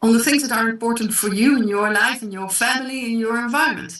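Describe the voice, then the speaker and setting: A woman with a slight South African accent speaks at a fairly quick pace with ordinary pitch variation. Audible room echo surrounds her voice. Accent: slight South African Dutch. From South Africa and the Netherlands. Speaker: online business presenter. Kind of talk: sales pitch.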